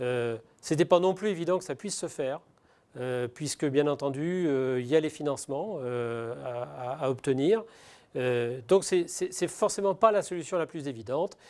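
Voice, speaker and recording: This man's voice sits fairly high, with lively intonation at a moderate pace. The recording is very clean, with a silent background. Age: 60s. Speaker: business owner. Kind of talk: testimony. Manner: halting, many hesitations.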